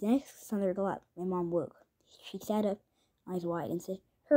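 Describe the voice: Plain reading aloud with fairly even intonation is heard over a quiet background.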